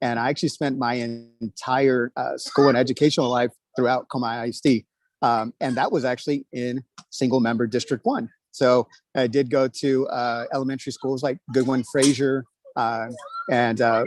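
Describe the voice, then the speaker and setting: The man speaks with an American accent in a monotone, flat intonation. The sound is dry and close, with no echo. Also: medium pitch for a man, moderate pace. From Texas, New Braunfels. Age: 30s. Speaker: school board candidate. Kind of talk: candidate speech at online meeting. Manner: many fillers (uh, um).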